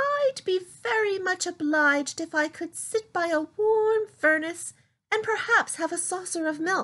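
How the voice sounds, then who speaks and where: A squeaky, put-on character voice in a gentle tone. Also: woman, extremely high pitch for a woman, moderate pace. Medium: read story. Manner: polite, gentle.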